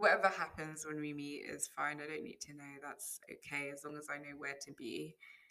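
A woman with a British accent speaks at a fairly quick pace in a very deep, low voice, her intonation fairly even while her loudness swings widely. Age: 20s. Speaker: podcaster, wig maker. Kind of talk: solo monologue, casual reflection. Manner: unscripted, hesitant with fillers.

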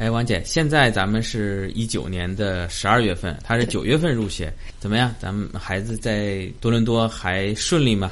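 Audible room echo surrounds a man speaking at a moderate pace. His voice is fairly low, with ordinary pitch variation. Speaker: podcast host. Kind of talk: interview.

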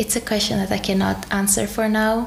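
A woman speaks with a Greek accent. Noticeable background noise sits behind her. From Greece. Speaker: dentist and graduate. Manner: halting, with fillers.

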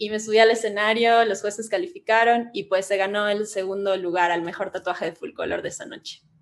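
A woman talks fairly quickly with hardly any pauses, in an unremarkable speaking voice. Her pitch is medium with ordinary variation, and her loudness swings widely. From Ecuador, Cuenca. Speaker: tattoo artist and psychologist. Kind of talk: casual chat.

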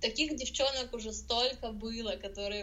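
Noticeable background noise behind a woman's fairly high voice, moderate in pace, with fairly even intonation. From Russia. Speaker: blogger. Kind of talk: podcast interview. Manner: hesitant, many filler sounds.

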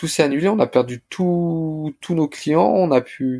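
The recording is very clean with a silent background and a dry, close sound with no echo. A man speaks in a dark, mellow tone with ordinary pitch variation. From Paris suburbs, France (Blanc-Mesnil). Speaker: restaurant co-founder. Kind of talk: casual interview. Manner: hesitant, many fillers and repetitions.

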